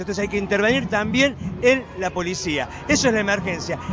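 Amid crowd noise in the background, someone talks at a very fast pace with ordinary pitch variation. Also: man. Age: 50s. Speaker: left-wing political leader. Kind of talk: street interview. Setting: outdoors at a protest march.

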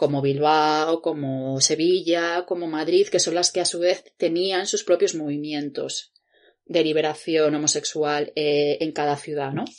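Over a quiet background, a woman talks at a fairly slow pace in a very deep, low pitch with monotone, flat intonation. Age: 30s. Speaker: podcast co-host, independent researcher. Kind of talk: casual chat.

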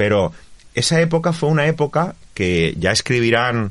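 Over a quiet background, a man's voice moves through very wide pitch swings. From Valencia region, Spain (Faura). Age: 40s. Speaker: provincial politician. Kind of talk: interview.

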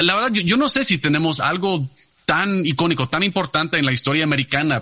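A man with a fairly high pitch and lively intonation over noticeable background noise. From Texas, San Antonio. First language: English (speaking Spanish). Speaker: energy company executive. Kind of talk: interview. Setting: video call. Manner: halting, repeats words.

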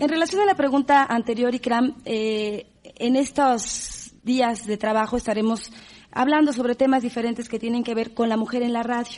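A woman speaks at a moderate pace, her high-pitched voice keeping a fairly even intonation. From Mexico. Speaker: radio host and moderator. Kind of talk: panel moderation.

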